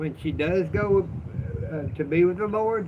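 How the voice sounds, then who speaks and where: Ordinary pitch movement from a man with a Southern US accent. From US South. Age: 60s. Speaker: livestreamer. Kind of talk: casual livestream chat. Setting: outdoors on front porch. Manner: animated.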